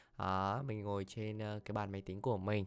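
In a very clean recording with a silent background, a man with a plain, everyday voice speaks at a moderate pace and a fairly low pitch. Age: 20s. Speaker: podcast host. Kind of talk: personal monologue, casual talk. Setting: at own computer desk.

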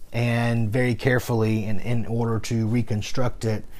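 Here is a man with a normal speaking voice. He talks at a fairly slow pace and a medium pitch. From US South. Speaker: podcaster, former pastor. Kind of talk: personal storytelling monologue.

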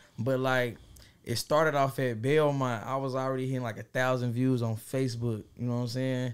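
A man at a medium pitch with an American accent, fairly quick pace and monotone, flat intonation. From Fort Worth, Texas. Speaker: rapper. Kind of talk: casual chat.

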